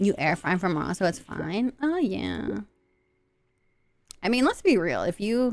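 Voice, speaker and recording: A woman speaks in a slight Southern US accent with an animated tone. Her pace is fairly slow, with long, frequent pauses. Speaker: vtuber streamer. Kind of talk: casual live stream chat.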